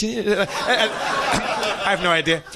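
In a raised, projected voice, a man with an American accent talks at a high pitch with lively intonation. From United States. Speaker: comedian. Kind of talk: comedic storytelling. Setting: stage with audience. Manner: animated. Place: stage. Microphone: studio mic.

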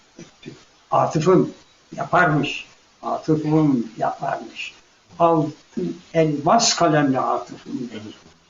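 Noticeable background noise accompanies a man speaking at a very slow pace. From Afyon, western Turkey. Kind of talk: interview answer, personal memoir. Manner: emotional, moving storytelling.

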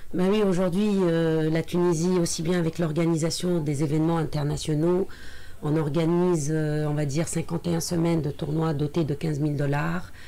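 This woman speaks in a very deep, low voice with monotone, flat intonation, a moderate pace and very even loudness. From Tunisia. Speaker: sports federation president. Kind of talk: radio interview. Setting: radio studio. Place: studio. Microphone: studio mic.

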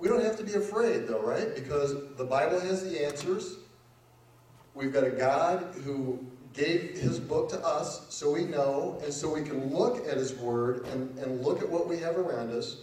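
Audible room echo carries a man's voice with lively intonation. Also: moderate pace. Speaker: lecturer. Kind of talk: lecture. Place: hall.

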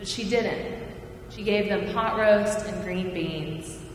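Speaking slowly at a medium pitch, a woman is heard with audible room echo. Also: ordinary pitch variation.

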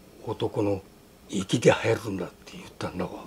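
A man speaks over noticeable background noise. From Tohma, Hokkaido, Japan. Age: 80s+. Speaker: farmer and former volunteer fire brigade leader. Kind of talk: interview answer. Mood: warm, smiling recollection. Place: home room.

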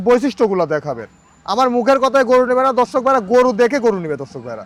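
A man's extremely high voice comes through with a dry, close sound and no echo. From Bangladesh, Pabna district (Ishwardi). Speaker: cattle farmer and dealer. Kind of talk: sales pitch.

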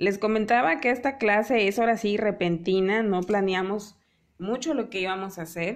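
Moderate pace and ordinary pitch variation from a woman with a medium-pitched voice. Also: quiet background. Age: 30s. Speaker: painting teacher. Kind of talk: live online painting class. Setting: live video stream. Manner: warm, chatty.

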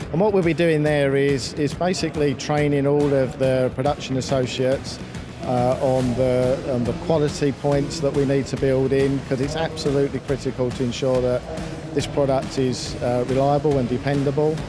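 The speech moves at a moderate pace, dry with no echo, with music in the background. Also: man. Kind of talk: interview answer. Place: hall. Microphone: handheld.

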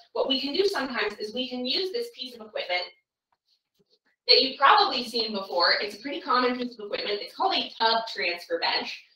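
A woman talks at a high pitch, and audible room echo can be heard around her. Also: fairly quick pace. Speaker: caregiver trainer. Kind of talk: tutorial. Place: bathroom. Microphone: camera far.

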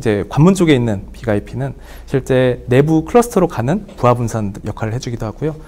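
The speaker is a man at a moderate pace. His intonation is lively. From South Korea. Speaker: IT vendor engineer. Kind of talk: webinar interview. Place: studio. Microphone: lapel.

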